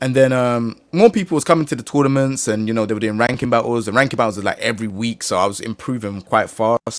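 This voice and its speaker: A man speaks very fast in a London accent. His pitch is medium, with ordinary variation. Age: 30s. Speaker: gaming content creator. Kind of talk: casual chat.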